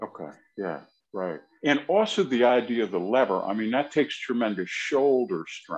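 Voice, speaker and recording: This man talks at a moderate pace and medium pitch, his voice swinging very widely in pitch and showing vocal fry. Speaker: podcast co-host. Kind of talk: casual interview chat.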